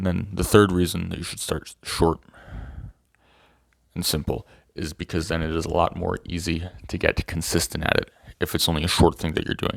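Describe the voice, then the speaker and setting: Using a very deep, low pitch, a man talks with long, frequent pauses. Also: very clean recording, silent background. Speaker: self-improvement video creator. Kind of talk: casual talking-head monologue. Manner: fast; halting, many fillers and restarts.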